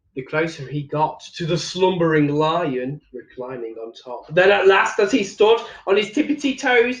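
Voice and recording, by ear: With lively intonation and a moderate pace, a man speaks at a fairly high pitch amid audible room echo.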